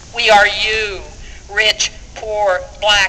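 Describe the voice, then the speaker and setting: Over noticeable background noise, a woman at medium pitch talks at a very slow pace. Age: 70s. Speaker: activist speaker. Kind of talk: rally speech.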